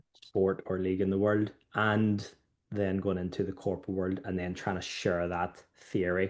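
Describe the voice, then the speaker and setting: In a Northern Irish accent, the speaker talks at a moderate pace with monotone, flat intonation. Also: man, very deep, low pitch for a man. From Northern Ireland. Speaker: former footballer and keynote speaker. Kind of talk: interview conversation.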